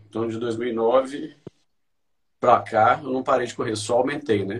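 A man's somewhat breathy voice at medium pitch and a moderate pace. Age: 40s. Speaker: amateur runner. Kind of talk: interview.

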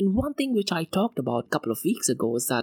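The pace is very fast as this man speaks. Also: dry, close sound with no echo. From India, Mumbai. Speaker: crypto podcast host. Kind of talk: solo news podcast.

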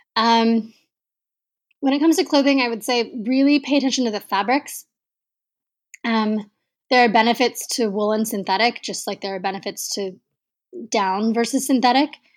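A woman speaks at a moderate pace with fairly high pitch and ordinary pitch variation, leaving long, frequent pauses. The recording is very clean, with a silent background. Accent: American. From Texas. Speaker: travel writer and mountaineer. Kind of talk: interview.

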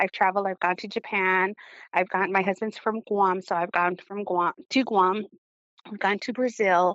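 This woman's voice sits at a medium pitch. She speaks at a moderate pace with flat, monotone intonation. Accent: American. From Arizona. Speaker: sports fan. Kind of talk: interview.

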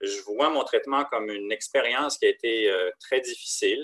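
This man talks at a fairly slow pace. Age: 50s. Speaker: leukemia patient sharing experience. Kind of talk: interview testimony. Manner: halting, many hesitations.

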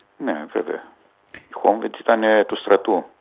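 The pace is fairly slow. The speaker is a man. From Hungary (Budapest), Greek refugee family. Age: 60s. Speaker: retired footballer. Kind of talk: interview testimony.

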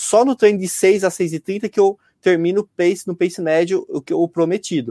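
Dry and close with no echo, a man's high-pitched voice carries a dark, mellow tone, ordinary pitch variation and a moderate pace. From rural Brazil. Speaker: amateur runner. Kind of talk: interview. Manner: halting.

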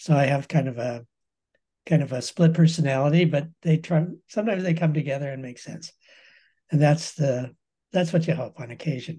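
A man in an American accent, dark and mellow and somewhat breathy, fairly quick but with long, frequent pauses, big swings in loudness and ordinary pitch variation. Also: fairly high pitch for a man. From US West (Colorado). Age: 70s. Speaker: professor emeritus of fine arts. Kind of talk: interview conversation.

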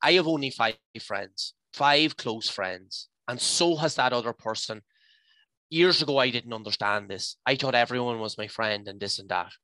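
A man with an Irish midlands accent talks at a moderate pace in a medium pitch with ordinary pitch variation and a bright, sharp tone, in a very clean, silent recording with a dry, close sound and no echo. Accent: Irish (north-west midlands). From Ireland, County Leitrim. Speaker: hiking group founder. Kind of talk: personal testimony. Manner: animated.

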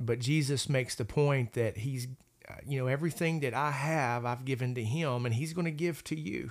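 In an unremarkable speaking voice, a man speaks at a medium pitch and a moderate pace with ordinary pitch variation. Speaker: pastor. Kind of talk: Bible study discussion.

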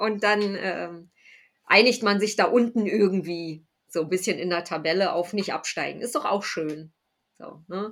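A woman with a normal speaking voice talks fairly slowly at a medium pitch, her loudness swinging widely while her pitch varies in an ordinary way. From Berlin. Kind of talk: casual chat.

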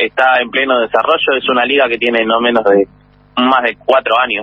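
The man uses an unremarkable speaking voice at medium pitch, keeping a moderate pace. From Buenos Aires, Argentina. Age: 30s. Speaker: baseball player and manager. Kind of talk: interview.

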